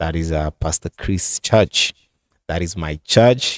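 A man speaks at a fairly slow pace. The background is quiet and the sound is dry, with no echo. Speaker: commentary channel host. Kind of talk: commentary. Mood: earnest, slightly defensive. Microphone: studio mic.

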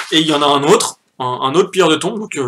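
Bright and sharp in tone, a man speaks at a fairly quick pace. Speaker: youtuber debunking a documentary. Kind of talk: live stream commentary. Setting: home live stream with chat. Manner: casual, hesitant with many fillers. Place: home room. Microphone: poor sound, usual recorder broken.

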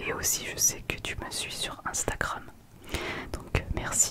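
A woman's voice over loud background noise. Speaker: ASMR creator. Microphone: studio mic.

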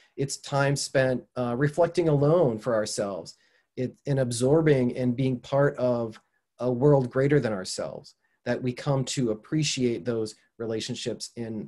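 A man's dark, mellow voice at a fairly slow pace, with ordinary pitch variation and a quiet background. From southeastern Minnesota, USA. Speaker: environmental communication professor. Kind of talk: online lecture. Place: home room. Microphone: webcam.

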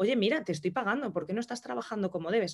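A woman's voice with lively intonation over a quiet background. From Madrid, Spain; Spain. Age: 30s. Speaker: entrepreneur and hairdresser; interview guest. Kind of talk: interview. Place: home room. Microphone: video call.

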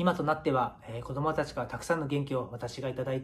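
Fairly quick and monotone, a man speaks in a fairly high, somewhat breathy voice over light background noise. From Japan, Miyagi (Iwanuma); Japan. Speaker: professional footballer. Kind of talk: prepared video message. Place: home room. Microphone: phone near.

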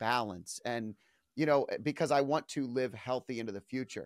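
Recorded dry with no echo and a quiet background, a man speaks at a medium pitch with ordinary pitch variation. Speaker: podcast host. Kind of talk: interview. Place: home room. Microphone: studio mic.

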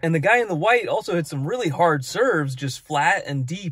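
A man at a fairly quick pace, dry and echo-free, with a quiet background. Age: 30s. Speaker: tennis vlogger. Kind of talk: casual vlog talk to camera. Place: car. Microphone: phone near.

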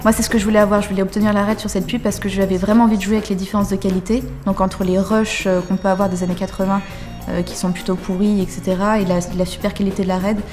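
Clear music plays in the background. A woman talks at a very fast pace with flat, monotone intonation. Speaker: young film director. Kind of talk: casual interview answer explaining project. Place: studio. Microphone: lapel.

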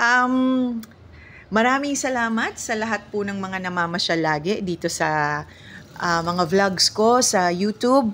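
An unremarkable speaking voice with lively intonation at a fairly slow pace, on a very clean recording with a silent background. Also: woman, medium pitch for a woman. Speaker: vlogger. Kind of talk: casual vlog talk.

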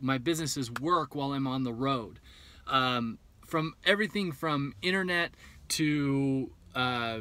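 A man's voice has a bright, sharp tone and a dry sound with no echo. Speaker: vlogger planning bus life. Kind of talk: casual vlog chat. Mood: reflective, candid about fears. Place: car.

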